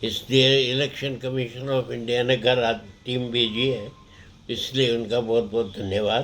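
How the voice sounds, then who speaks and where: This man speaks at a medium pitch in a flat monotone. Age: 90s. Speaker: retired judge and voter. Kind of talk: interview. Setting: at home.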